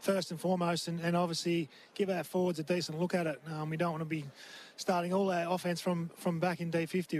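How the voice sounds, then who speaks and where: Someone talks at a very fast pace with an Australian accent, the intonation monotone and flat. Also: man. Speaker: assistant football coach. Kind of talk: interview. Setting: boundary side at the ground.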